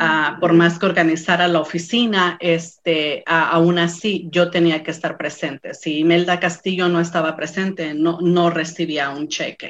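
The delivery is monotone and flat. It moves at a fairly slow pace with hardly any pauses. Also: woman, fairly low pitch for a woman. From Mexico, San Luis Potosí. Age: 40s. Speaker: small business owner. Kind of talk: interview testimony. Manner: halting, many fillers.

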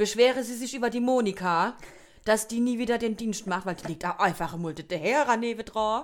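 She speaks with a Palatine accent. The woman's pitch sits fairly high. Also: ordinary pitch variation, moderate pace. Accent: Kurpfalz (Palatine) German. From Kurpfalz region, southwest Germany. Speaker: podcast co-host. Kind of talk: casual chat.

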